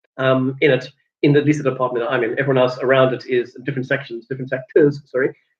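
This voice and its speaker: With monotone, flat intonation, a man speaks at a very fast pace and a medium pitch, somewhat breathy. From South Africa, Cape Town. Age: 30s. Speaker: vlogger. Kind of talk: casual vlog monologue. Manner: hesitant, many fillers.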